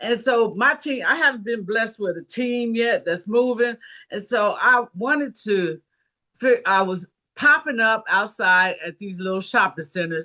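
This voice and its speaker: Fairly high female voice, bright and sharp, with an animated tone and lively intonation, fairly slow, against a quiet background. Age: 70s. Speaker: network marketing team member. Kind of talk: testimony.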